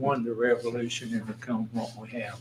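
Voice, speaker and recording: A man with a Tennessee accent talks at a moderate pace over noticeable background noise. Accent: Southern US, Tennessee. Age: 80s+. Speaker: county commissioner. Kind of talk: casual chat.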